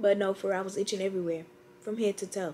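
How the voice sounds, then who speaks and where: A woman at a very fast pace, light background noise behind her. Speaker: vlogger. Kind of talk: casual vlog chat. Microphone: phone near.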